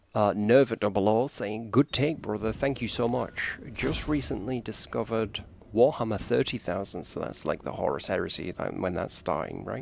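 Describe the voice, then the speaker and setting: There is vocal fry in this man's fairly low-pitched voice. He speaks with lively intonation and hardly any pauses. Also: moderate pace. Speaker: gaming streamer. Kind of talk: live gameplay commentary. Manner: casual, chatty.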